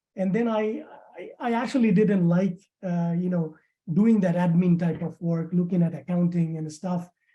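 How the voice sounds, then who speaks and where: The pace is moderate. A non-native accent is heard. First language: not English. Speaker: immigrant banking professional. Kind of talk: webinar testimony. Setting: webinar. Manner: halting, many fillers.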